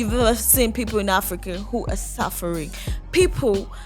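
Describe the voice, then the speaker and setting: Here a woman talks at a medium tempo. Background music plays throughout. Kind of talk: casual reaction commentary.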